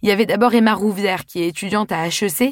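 A woman talks in an ordinary speaking voice at a fairly quick pace, with a medium pitch, ordinary pitch variation, and a dry, close sound with no echo. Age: 20s. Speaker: podcast host and author. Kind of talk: scripted monologue.

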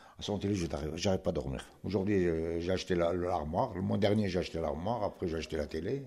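A man talks at a very fast pace with a very deep, low pitch. His tone is dark and mellow, with vocal fry. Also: ordinary pitch variation. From Morocco. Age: 70s. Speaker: retired immigrant worker. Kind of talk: interview.

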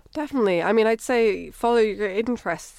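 A woman speaks with a Scottish accent. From Scotland. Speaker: physical oceanographer. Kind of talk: casual interview.

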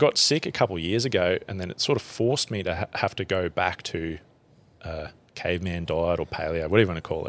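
With a strong Australian accent, a man talks at a fairly quick pace in a very deep, low voice. His pitch varies in an ordinary way, and he takes long, frequent pauses. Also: very clean recording, silent background. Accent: broad Australian. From central Queensland, Australia. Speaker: bushman and survivalist. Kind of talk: casual chat. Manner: halting.

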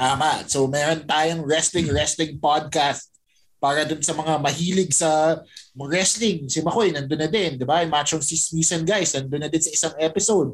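An unremarkable speaking voice, at an average tempo and with mostly level intonation. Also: man, fairly high pitch for a man. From Philippines, Pampanga. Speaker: podcaster. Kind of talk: casual chat.

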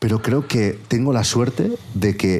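Noticeable background noise sits behind a man who speaks with fairly even intonation. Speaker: podcaster and producer. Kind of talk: casual chat.

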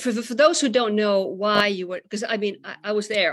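With a Finnish accent, a woman speaks at a fairly quick pace in a medium-pitched voice. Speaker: podcast host and musician. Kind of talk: casual chat. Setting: video call.

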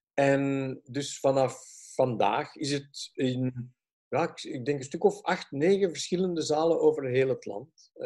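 Speaking at a very slow pace with a Flemish accent, a man uses a fairly high pitch and a dark, mellow tone with ordinary pitch variation. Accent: Flemish Dutch. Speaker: film and tv director. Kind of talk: interview. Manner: halting.

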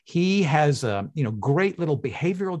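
The voice belongs to a man and is somewhat breathy. The background is quiet. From Canada (Toronto). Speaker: behavioral finance researcher. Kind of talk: interview conversation. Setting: video call.

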